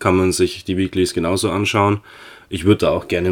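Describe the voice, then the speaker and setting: On a very clean recording with a silent background, a man with a very deep, low pitch talks at a moderate pace. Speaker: wrestling podcast co-host. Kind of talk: casual chat.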